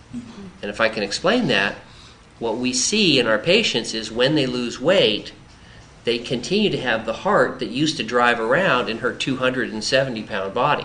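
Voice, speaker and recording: Lively intonation from a man at medium pitch and moderate pace, with noticeable background noise. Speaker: bariatric surgeon. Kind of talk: doctor interviewing patient on camera.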